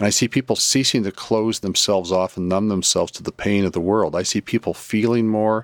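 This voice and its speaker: A man's normal speaking voice at a fairly low pitch, fairly quick in pace with hardly any pauses and fairly even intonation, on a very clean recording with a silent background. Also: dry, close sound with no echo. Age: 60s. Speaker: psychotherapist and spiritual teacher. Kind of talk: interview.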